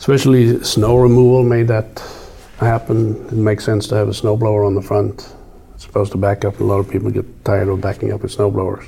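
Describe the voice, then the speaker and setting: Over noticeable background noise, a man with a non-native accent talks at a very fast pace in a fairly low pitch with monotone, flat intonation. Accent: noticeable foreign. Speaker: farm equipment company executive. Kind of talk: casual interview.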